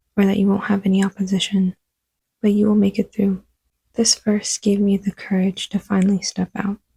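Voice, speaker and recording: A woman talks fairly quickly at a medium pitch, with a somewhat breathy, dark, mellow tone. Her intonation is monotone and flat, and her loudness stays very even. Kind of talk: devotional talk to camera.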